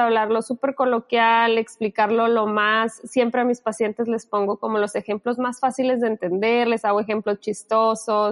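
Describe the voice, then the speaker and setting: A woman with a fairly high pitch speaks at a moderate pace in a monotone, flat way. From Sinaloa, Mexico. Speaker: psychologist. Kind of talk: casual interview.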